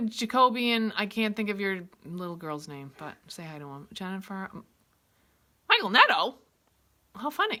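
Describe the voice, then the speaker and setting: With a Maine accent and a bright, sharp tone, a woman speaks with big swings in loudness, very wide pitch swings, and long, frequent pauses against a quiet background. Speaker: art teacher. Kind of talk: tutorial; casual chat. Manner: casual, halting. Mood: cheerful, chatty.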